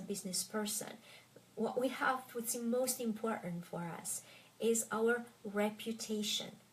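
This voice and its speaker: A woman speaks with a slight French accent. Her pitch is fairly high and her intonation fairly even. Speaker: French tutor. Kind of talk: casual Q&A talk to viewers. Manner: careful enunciation; hesitant with fillers.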